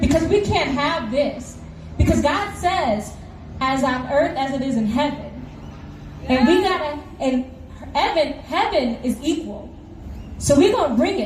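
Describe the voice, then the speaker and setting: Loud and animated, a woman with a high pitch and lively intonation leaves long, frequent pauses, with audible room echo around her. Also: fairly slow pace. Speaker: protest speaker. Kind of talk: rally speech.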